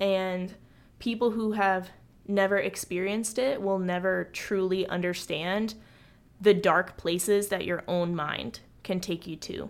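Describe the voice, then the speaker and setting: A woman's plain, everyday voice at medium pitch, with fairly even intonation and a fairly slow pace. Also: very clean recording, silent background. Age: 20s. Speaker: podcast host. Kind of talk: solo monologue podcast.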